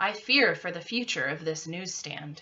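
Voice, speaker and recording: Using a put-on character voice, a woman speaks at a medium pitch and moderate pace. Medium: read story. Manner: smooth, courtly.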